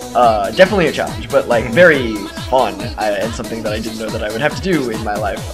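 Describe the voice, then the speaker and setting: Over clear background music, a man talks very fast at a medium pitch with lively intonation. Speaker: voice actor; transgender man who transitioned while working as a voice actor. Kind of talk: interview answer. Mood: relaxed, friendly. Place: hall. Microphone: camera far.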